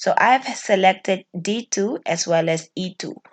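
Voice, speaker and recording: In a normal speaking voice, a woman talks at a medium pitch with ordinary pitch variation against a quiet background. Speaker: spreadsheet tutorial teacher. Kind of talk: tutorial.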